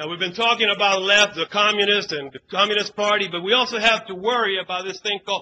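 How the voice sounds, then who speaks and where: A man's raised, projected voice at a high pitch. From US South, Savannah, Georgia; born in Cuba. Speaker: political activist. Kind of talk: speech at a conference.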